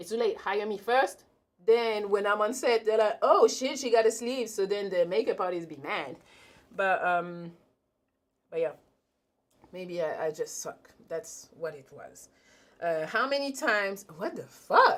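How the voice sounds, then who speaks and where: A woman with a strong French accent talks at a fairly slow pace and fairly high pitch, in an animated tone with lively intonation, big swings in loudness and long, frequent pauses. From France, Paris. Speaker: YouTuber, talk show host. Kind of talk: live-stream Q&A, casual chat.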